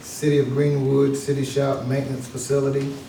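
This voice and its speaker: There is noticeable background noise and audible room echo. A man talks at a moderate pace in a fairly high pitch. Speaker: county commission member. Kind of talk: public meeting, reading out funding rankings. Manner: hesitant, many fillers.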